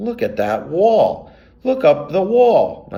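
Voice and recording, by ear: Putting on a squeaky character voice at an extremely high pitch, a man speaks at a very slow pace.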